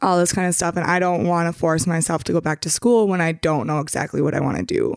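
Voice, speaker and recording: A woman speaks in a plain, everyday voice, fairly low in pitch, with fairly even intonation. The recording is very clean and the background silent. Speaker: podcast guest, younger sister. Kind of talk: casual chat.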